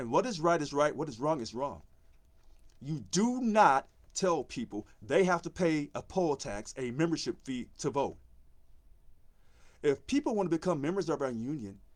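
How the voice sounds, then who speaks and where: Lively in intonation, a man with a fairly high pitch speaks at a moderate pace. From Missouri, US. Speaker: union election candidate. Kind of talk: live video monologue. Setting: live social media video. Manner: passionate.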